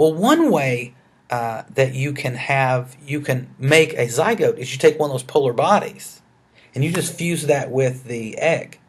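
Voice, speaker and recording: A man with a Southern US accent, somewhat breathy, at a fairly slow pace with ordinary pitch variation. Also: fairly high pitch for a man. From US South, rural Arkansas. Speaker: biology educator. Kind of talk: lecture. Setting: screencast recording. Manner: hesitant, many fillers.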